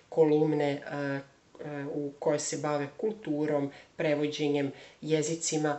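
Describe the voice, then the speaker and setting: Noticeable background noise sits behind the recording. A man speaks with a fairly high pitch. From Serbia, Belgrade. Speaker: language teacher and theologian. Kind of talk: self-introduction video. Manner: hesitant, many fillers.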